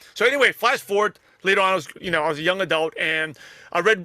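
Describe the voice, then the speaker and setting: Raised and projected, a man's high-pitched voice has a bright, sharp tone, ordinary pitch variation and a very fast pace. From New York (Brooklyn), US. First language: not English (English is third language). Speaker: network marketer and podcaster. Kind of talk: interview.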